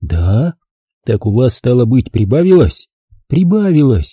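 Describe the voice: Nothing much sounds behind the speaker. It is plain reading aloud.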